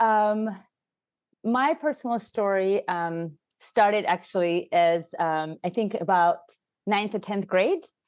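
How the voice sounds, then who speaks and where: A woman with a Russian accent speaks at a medium pitch and a very slow pace. Her intonation is lively, broken by long, frequent pauses. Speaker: HR consultant and leadership coach. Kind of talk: podcast interview.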